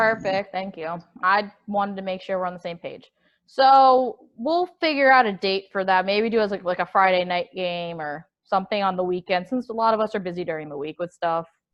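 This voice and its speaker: A woman speaks at a medium pitch. Her pace is fairly quick, with ordinary pitch variation. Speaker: student club officer. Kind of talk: club meeting presentation. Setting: video call. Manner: fast.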